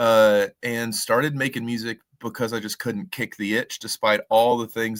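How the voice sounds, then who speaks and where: With a Southern Appalachian accent, a man speaks at a fairly quick pace and medium pitch, the sound dry and close with no echo. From US South, Western North Carolina. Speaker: singer-songwriter. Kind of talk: radio interview. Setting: radio studio.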